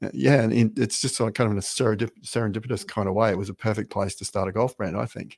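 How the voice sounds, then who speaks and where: Someone talks at a very fast pace with an Australian accent on a very clean recording with a silent background. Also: man. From Australia, Brisbane. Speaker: golf brand founder. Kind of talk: casual interview. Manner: halting, many fillers.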